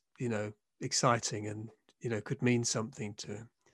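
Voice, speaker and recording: With a British accent, a man talks at a moderate pace and with fairly even intonation, his sound dry and close with no echo against a quiet background. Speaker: podcast host, professor. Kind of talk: interview, casual conversation. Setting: video call.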